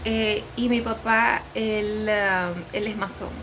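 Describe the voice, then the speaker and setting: Room echo and clear background noise both surround a woman's speech. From Venezuela. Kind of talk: testimony. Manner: unscripted, hesitant with fillers.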